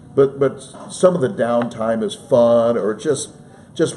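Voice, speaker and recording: A man with a medium-pitched voice speaks with lively intonation over noticeable background noise. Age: 60s. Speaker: sports play-by-play broadcaster. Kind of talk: casual interview. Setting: studio, live stream.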